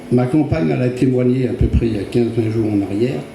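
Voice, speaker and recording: A medium-pitched man speaks at a fairly quick pace amid noticeable background noise and audible room echo. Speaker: churchgoer giving testimony. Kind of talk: testimony. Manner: halting.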